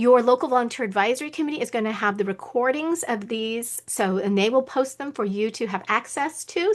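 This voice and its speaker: Against a quiet background, a woman speaks high-pitched with lively intonation. She keeps a moderate pace with hardly any pauses. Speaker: webinar presenter on staffing. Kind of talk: online training Q&A.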